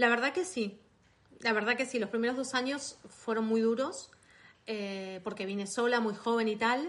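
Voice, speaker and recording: Over a quiet background, a woman with a fairly high pitch talks at a moderate pace with ordinary pitch variation. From Argentina, Buenos Aires. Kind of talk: interview. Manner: hesitant, many fillers.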